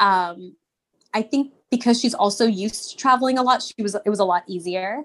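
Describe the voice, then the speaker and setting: At a fairly quick pace, a woman speaks in a normal speaking voice, fairly high in pitch, with ordinary pitch variation. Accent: American. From Texas. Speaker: Montessori teacher and school owner. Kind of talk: casual interview.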